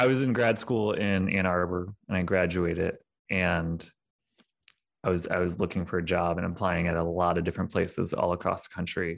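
In a Midwestern American accent, a man speaks at a moderate pace with a very deep, low pitch and fairly even intonation. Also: quiet background. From St. Louis, Missouri suburbs. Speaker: climate equity director. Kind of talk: interview testimony.

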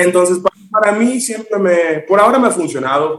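Ordinary pitch variation comes with a fairly quick pace. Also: man. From Miami, Dominican-born. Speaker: singer. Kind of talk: interview.

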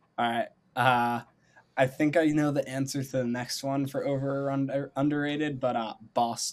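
A man with an American accent speaks at a moderate pace in a fairly high pitch, his intonation monotone and flat. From near Philadelphia, US. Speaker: podcast co-host. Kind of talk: casual chat.

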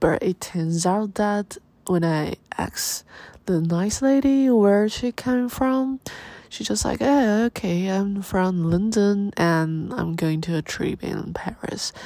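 Her intonation is lively, at a medium pitch. The woman speaks at a very slow pace with a Chinese accent. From Taiwan. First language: Mandarin Chinese. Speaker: podcast host. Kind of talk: casual monologue. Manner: halting.

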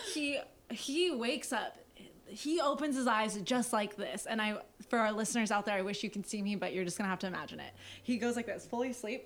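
A woman with a fairly high pitch talks at a fairly quick pace in an ordinary speaking voice, with ordinary pitch variation. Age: 20s. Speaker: podcast co-host. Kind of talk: casual chat. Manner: fast.

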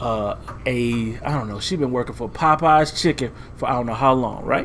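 Noticeable background noise runs under this recording. A man speaks at a medium pitch with ordinary pitch variation. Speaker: podcast co-host. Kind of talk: casual chat. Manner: low energy.

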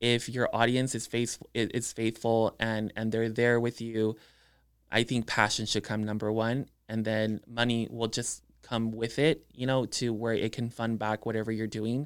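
With a South Texas accent, a man talks at a moderate pace in a monotone, flat intonation. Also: medium pitch for a man, very clean recording, silent background. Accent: South Texas Mexican-American English. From Edinburg, Texas (Rio Grande Valley), Mexican-American family. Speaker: makeup artist and social media influencer. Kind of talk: casual interview chat. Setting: studio.

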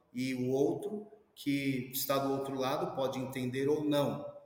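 With noticeable background noise and audible room echo, a man talks at a fairly slow pace, his fairly high pitch showing ordinary variation. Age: 50s. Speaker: professor and security specialist. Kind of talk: interview.

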